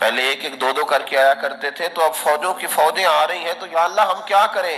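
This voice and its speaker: There is noticeable background noise. Over it, a man speaks at a fairly high pitch. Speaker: Islamic preacher. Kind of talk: Islamic sermon (bayan) delivered to an audience. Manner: emotional, preaching.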